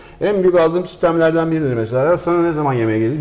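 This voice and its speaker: Amid noticeable background noise and audible room echo, a man speaks very fast at a fairly high pitch with lively intonation. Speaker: chef. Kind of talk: casual chat.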